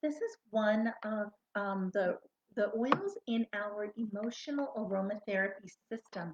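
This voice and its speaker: Soft-spoken and somewhat breathy, the voice shows ordinary pitch variation in a dry, close sound with no echo. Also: woman. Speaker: essential oils seller. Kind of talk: product tutorial.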